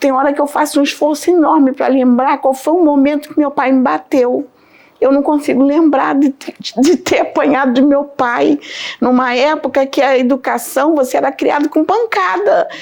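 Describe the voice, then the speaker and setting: This woman's voice sits high in pitch and keeps a very even loudness throughout. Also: ordinary pitch variation, moderate pace. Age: 60s. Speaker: religious testimony giver. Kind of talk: testimony. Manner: halting.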